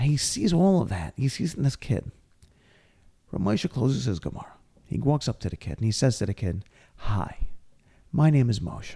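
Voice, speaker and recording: A man with a medium-pitched, dark and mellow voice shows vocal fry and very wide swings in pitch, talking at a moderate pace with long, frequent pauses on a very clean recording with a silent background. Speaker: podcast host and speaker; rabbi. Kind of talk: casual chat, storytelling.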